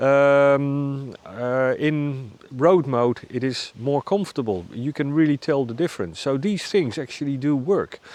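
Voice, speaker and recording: The speech moves at a fairly slow pace with hardly any pauses and ordinary pitch variation. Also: man, fairly high pitch for a man. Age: 60s. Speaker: motorcycle reviewer. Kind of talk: product review monologue. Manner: halting, many fillers.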